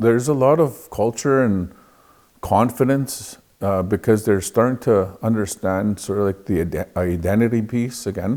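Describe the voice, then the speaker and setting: A man talks at a moderate pace with a dark, mellow tone and a medium pitch. His pitch varies in an ordinary way, and the recording is very clean with a silent background. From Canada, Cree reserve community. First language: Cree. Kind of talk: interview. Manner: hesitant with frequent fillers.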